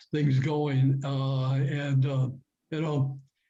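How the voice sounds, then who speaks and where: Audible room echo surrounds the voice. A man talks at a very slow pace. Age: 80s+. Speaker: club member attendee. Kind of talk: audience comment. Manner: halting.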